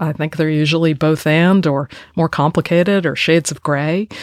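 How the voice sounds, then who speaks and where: In a very clean recording with a silent background and a dry, close sound with no echo, a normal speaking voice with an American accent moves at a fairly slow pace. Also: woman. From United States. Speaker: historian and author. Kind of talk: interview.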